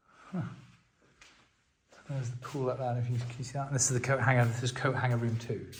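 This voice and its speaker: A man's medium-pitched, somewhat breathy voice, very fast and monotone with flat intonation, broken by long, frequent pauses, with audible room echo. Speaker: property vlogger and hotel owner. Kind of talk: walkthrough video tour. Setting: inside an abandoned hotel. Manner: whispering to avoid echo.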